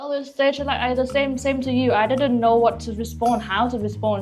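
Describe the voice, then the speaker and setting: Music plays in the background while a woman talks at a fairly quick pace. Room echo is audible. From Vietnam. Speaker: podcast guest, graduate student. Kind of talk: casual interview chat. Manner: halting, many fillers.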